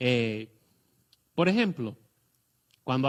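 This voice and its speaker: A man is speaking. He goes at a very slow pace. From Puerto Rico. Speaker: guest pastor. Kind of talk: testimony. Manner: halting, many fillers.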